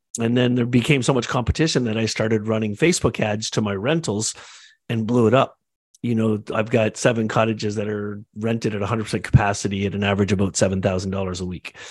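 A man talks very fast with a Canadian accent. His pitch is fairly low and his intonation fairly even. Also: very clean recording, silent background. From Canada. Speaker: entrepreneur, agency and real estate developer. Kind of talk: casual panel discussion.

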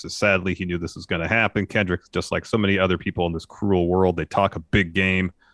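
Fairly quickly, a man speaks in a very deep, low monotone with flat intonation. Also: hardly any pauses. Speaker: wrestling podcast co-host. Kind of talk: casual chat, show recap and review. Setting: live on Twitch stream.

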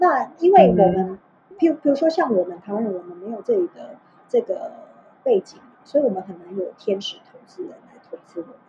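With noticeable background noise behind her, a woman speaks at a fairly quick pace in a high pitch, with very wide pitch swings and big swings in loudness. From Taiwan, Tainan. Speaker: HR director, former beauty-industry educator. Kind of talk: casual interview chat. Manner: halting, repeats words.

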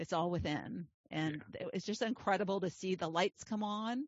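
A woman talks at a moderate pace in a plain, everyday voice. Her pitch is medium with ordinary variation. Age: 60s. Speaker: life coach and podcast host. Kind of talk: interview podcast chat.

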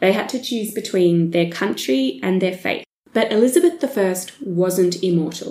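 A woman talks in an Australian accent at medium pitch. Her tone is dark and mellow. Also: lively intonation, moderate pace. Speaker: history podcast co-host. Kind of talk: casual chat with storytelling.

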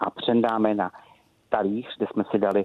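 In a normal speaking voice, a man speaks at a fairly low pitch with fairly even intonation. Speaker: head chef. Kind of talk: casual interview with recipe. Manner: casual, jovial.

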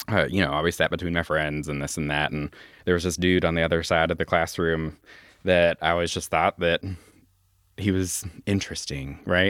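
On a very clean recording with a silent background and a dry, close sound with no echo, a man speaks in a very deep, low pitch with fairly even intonation. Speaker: high school English teacher. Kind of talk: casual chat. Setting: studio.

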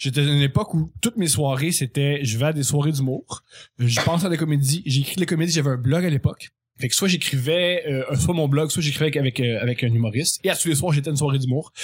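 Somewhat breathy and fairly high in pitch, a man speaks at a very fast pace with ordinary pitch variation and very even loudness. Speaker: comedy writer. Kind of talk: casual chat.

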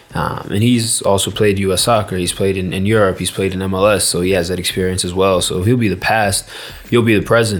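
A man with an American accent, fairly low pitch, flat monotone delivery and a fairly quick pace, with audible room echo and noticeable background noise. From United States. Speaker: football player. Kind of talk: casual chat. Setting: stadium. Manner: halting.

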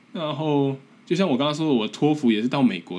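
With a strong Taiwanese accent, a man speaks at a moderate pace in a medium pitch and a dark, mellow tone. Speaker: podcast host, graduate student abroad. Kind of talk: casual solo monologue. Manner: halting, with repetitions.

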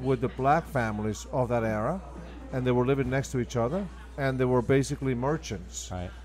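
A man speaks in an Argentine accent. His pace is fairly quick. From Argentina. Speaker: restaurant owner and manager. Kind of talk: casual interview chat.

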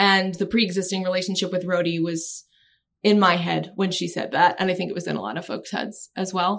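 An American-accented woman at medium pitch with vocal fry, fairly even intonation and a fairly quick pace. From Maryland (Annapolis). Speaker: business journalist. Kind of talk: casual interview.

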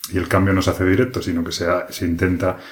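Somewhat breathy and very deep and low in pitch, a man speaks at a fairly quick pace in a monotone, flat intonation. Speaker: board game podcaster. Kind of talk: solo podcast monologue. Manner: hesitant, many fillers. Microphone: new microphone, rubbing on clothes in parts.

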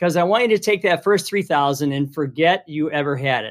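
In a very clean recording with a silent background, a man speaks at a fairly high pitch. His pace is fairly quick and his pitch variation ordinary. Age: 50s. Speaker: construction business owner and author. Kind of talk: casual interview. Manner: halting, frequent repetitions.

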